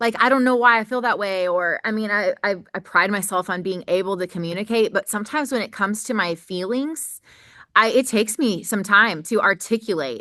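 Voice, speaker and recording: Loud and in a bright, sharp tone, a woman at medium pitch speaks with ordinary pitch variation over a quiet background. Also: fairly quick pace. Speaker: podcast host. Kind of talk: casual chat.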